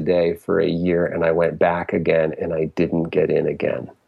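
A man speaks with a Connecticut accent. His pace is moderate. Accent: US Northeast (Connecticut) English. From Connecticut, Fairfield County. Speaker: music therapist and musician. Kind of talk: casual interview chat.

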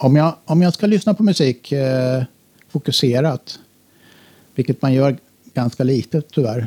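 The voice has a dark, mellow tone and ordinary pitch variation, moving at a moderate pace in a dry, close sound with no echo. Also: man. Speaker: electronic musician. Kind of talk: interview.

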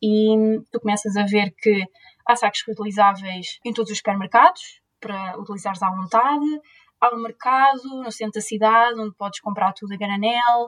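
In an ordinary speaking voice, a woman talks at a moderate pace and fairly high pitch, with fairly even intonation, big swings in loudness, and a dry, close sound with no echo. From Portugal, Leiria. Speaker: zero-waste influencer and PhD student. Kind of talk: interview.

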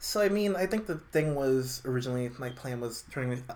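Over noticeable background noise, a man with an American accent talks at a medium pitch. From New York City (Brooklyn). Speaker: podcaster, former college radio host. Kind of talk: casual interview.

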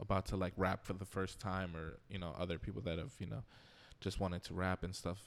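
In a very clean recording with a silent background, a man with a very deep, low voice speaks at a fairly quick pace with fairly even intonation. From Long Island, New York. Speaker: musician. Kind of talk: casual chat.

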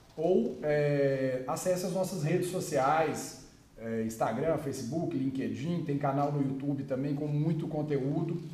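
Audible room echo and noticeable background noise around a voice with ordinary pitch variation. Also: man. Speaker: podcast co-host, business development. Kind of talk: interview.

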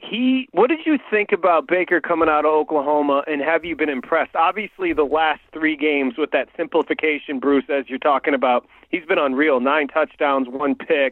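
An ordinary speaking voice in an American accent, with ordinary pitch variation and hardly any pauses. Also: man, fairly high pitch for a man, moderate pace. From Michigan. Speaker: sports radio host. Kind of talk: radio interview.

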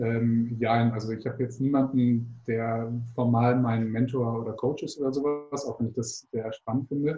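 A man talks at a moderate pace and medium pitch, somewhat breathy. His intonation is monotone and flat. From Hamburg, northern Germany. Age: 20s. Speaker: startup founder and doctoral student. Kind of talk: interview. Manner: hesitant with frequent fillers.

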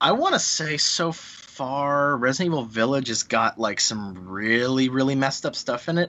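A man with a plain, everyday voice talks at a moderate pace with ordinary pitch variation. His loudness stays very even and he hardly pauses at all. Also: medium pitch for a man. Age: 30s. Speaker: game developer. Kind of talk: casual chat.

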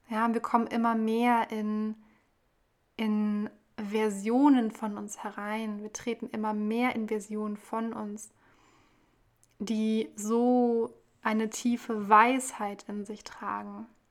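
A woman speaks very slowly at a fairly high pitch, in a flat monotone broken by long, frequent pauses, on a very clean recording with a silent background. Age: 20s. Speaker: spiritual podcaster. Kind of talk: spiritual monologue.

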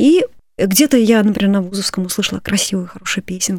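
A woman talks at a fairly quick pace with lively intonation, in a plain, everyday voice. The sound is dry and close, with no echo. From Moscow, Russia. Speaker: composer and church choir director. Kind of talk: radio interview. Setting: studio.

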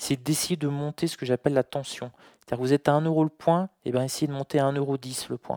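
In a dry, close recording with no echo, a man with a fairly high voice and a dark, mellow tone talks at a fairly quick pace with monotone, flat intonation. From France. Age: 40s. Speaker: trader. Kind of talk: interview.

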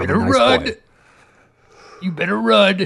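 Using a put-on character voice, a man speaks at a moderate pace with a high pitch and very wide pitch swings. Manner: menacing.

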